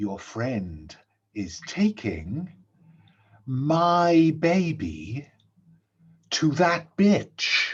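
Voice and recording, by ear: A man's put-on character voice, fairly high-pitched and very slow, with long, frequent pauses.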